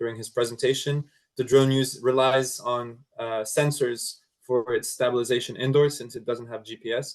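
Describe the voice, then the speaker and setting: A man talks at a moderate pace. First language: French. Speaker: drone company product manager. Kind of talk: webinar Q&A.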